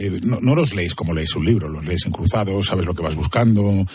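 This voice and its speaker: A man talks at a fairly quick pace in a Castilian accent. His tone is dark and mellow, somewhat breathy, with ordinary pitch variation. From Spain. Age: 50s. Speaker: crime journalist. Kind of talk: interview.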